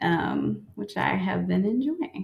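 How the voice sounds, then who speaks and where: A woman speaks with a Southern US accent. Her pace is fairly slow. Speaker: podcast host. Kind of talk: interview.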